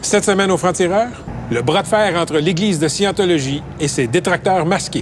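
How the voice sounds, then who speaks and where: Against noticeable background noise, a man with a high pitch speaks at a moderate pace, with very even loudness and ordinary pitch variation. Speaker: TV reporter. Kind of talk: TV documentary narration.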